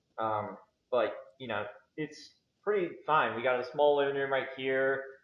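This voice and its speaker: With an American accent, a man speaks at a moderate pace and medium pitch with ordinary pitch variation, and audible room echo. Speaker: YouTuber interviewer. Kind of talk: interview. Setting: video call.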